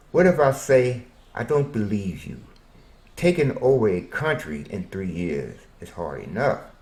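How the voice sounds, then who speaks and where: Pitch swings very widely and loudness rises and falls sharply, with vocal fry in an American accent. The pace is fairly slow, broken by long, frequent pauses. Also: man. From Arkansas, US South. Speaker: self-interviewing storyteller. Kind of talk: self-interview monologue.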